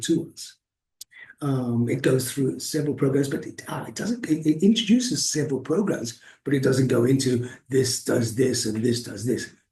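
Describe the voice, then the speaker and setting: This man's voice has a dark, mellow tone, medium pitch and a somewhat breathy quality. He moves at a fairly quick pace with ordinary pitch variation. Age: 60s. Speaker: activist vlogger reviewing a course. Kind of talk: casual video review. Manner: halting, many fillers and repetitions.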